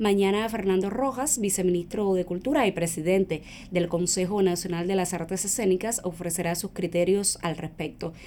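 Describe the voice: A woman with a fairly low pitch, a dark, mellow tone, fairly even intonation and few pauses. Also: moderate pace.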